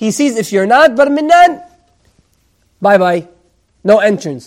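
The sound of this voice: Pitched high for a man, his voice carries a slightly mellow tone at a moderate pace.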